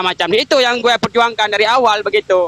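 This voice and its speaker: Shouting in a raised, projected voice, the speaker talks very fast in an animated tone, with a dry, close sound with no echo and noticeable background noise. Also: man. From Aceh, Indonesia. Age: young. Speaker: activist who was assaulted. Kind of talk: interview. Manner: loud, shouting style.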